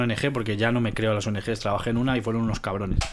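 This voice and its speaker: A man rattles along at a very fast pace, his intonation fairly even throughout. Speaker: podcast guest. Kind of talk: casual chat.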